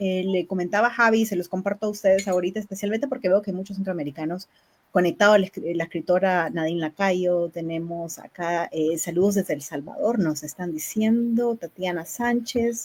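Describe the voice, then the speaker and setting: A woman speaks in a plain, everyday voice at a medium pitch. She talks at a fairly quick pace with hardly any pauses. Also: ordinary pitch variation. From Nicaragua. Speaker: poetry book presenter and interviewer. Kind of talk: live-streamed book launch interview.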